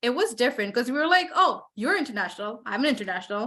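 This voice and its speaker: A woman's fairly high-pitched voice. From Bangladesh. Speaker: MBA student. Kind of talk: interview answer.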